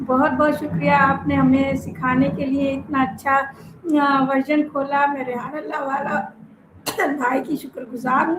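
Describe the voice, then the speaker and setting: Against noticeable background noise, a woman speaks at a high pitch with fairly even intonation. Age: 60s. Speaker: madrasa principal. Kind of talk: interview.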